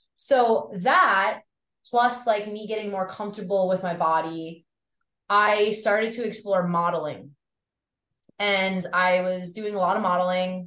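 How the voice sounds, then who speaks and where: A woman with a slight Long Island accent speaks at a fairly slow pace. Her tone is bright and sharp, and her intonation stays fairly even. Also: medium pitch for a woman. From Long Island, New York. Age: 30s. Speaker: drummer, model, nutritionist and yoga instructor. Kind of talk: casual interview chat.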